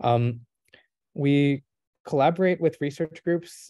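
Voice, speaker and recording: Against a quiet background, a man speaks in a dark, mellow tone with ordinary pitch variation, the sound dry and close with no echo. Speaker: AI startup chief scientist, guest lecturer. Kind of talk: lecture Q&A. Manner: fast.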